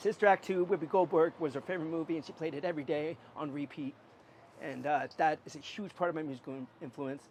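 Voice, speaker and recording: With an American accent, the speaker goes at a very fast pace, keeping intonation fairly even while loudness swings widely. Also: man, fairly high pitch for a man. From US Pacific Northwest, Portland. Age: 30s. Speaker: street musician. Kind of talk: interview. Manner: halting; talkative.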